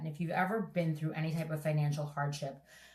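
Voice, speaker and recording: Somewhat breathy, a woman with a New York accent talks in a very deep, low pitch with fairly even intonation. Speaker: real estate agent and investor. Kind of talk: podcast interview.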